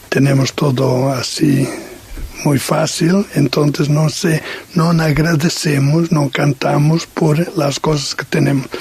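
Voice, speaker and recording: A man at a fairly high pitch and very slow pace, with fairly even intonation and very even loudness, amid noticeable background noise. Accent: Portuguese. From Portugal. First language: Portuguese (speaking Spanish). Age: 60s. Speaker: missionary. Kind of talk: radio interview testimony. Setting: radio studio, late night. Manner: halting, many hesitations.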